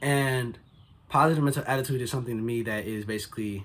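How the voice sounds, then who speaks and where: This man's voice has a somewhat breathy quality. He talks at a very fast pace. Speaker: motivational vlogger. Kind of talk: casual motivational vlog monologue. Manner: casual, filler-heavy.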